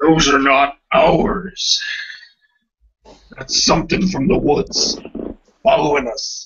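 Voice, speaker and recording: A put-on character voice from a man, high in pitch, at a very slow pace with long, frequent pauses. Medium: actual play. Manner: dry, terse.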